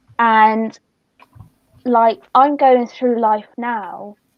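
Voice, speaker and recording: Speaking with a Somerset accent, a woman uses a high pitch and fairly even intonation. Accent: Somerset accent, noticeable. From Somerset, England. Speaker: youth charity worker and co-host. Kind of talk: casual chat.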